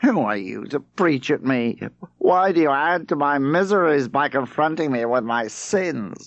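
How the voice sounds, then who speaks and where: A man's whiny, put-on character voice with a fairly high pitch at a moderate pace. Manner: whining, defensive.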